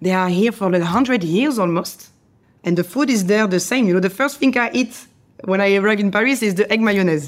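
Speaking with a French accent, a woman keeps a medium pitch with ordinary variation, a fairly quick pace and very even loudness. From France. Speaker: chef. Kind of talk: interview.

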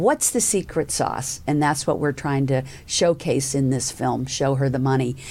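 With an American accent, a woman speaks in a very deep, low voice at a moderate pace with hardly any pauses. Her intonation is fairly even and her loudness very even. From US South. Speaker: podcast host and angel investor. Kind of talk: interview podcast.

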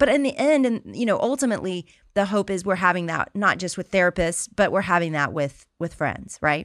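Speaking in an ordinary speaking voice, a woman at medium pitch talks at a fairly quick pace with lively intonation and hardly any pauses. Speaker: podcast host.

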